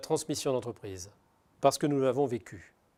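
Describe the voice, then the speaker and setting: A man speaks with a dark, mellow tone. The recording is very clean, the background silent. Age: 60s. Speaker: business owner. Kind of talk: testimony. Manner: halting, many hesitations.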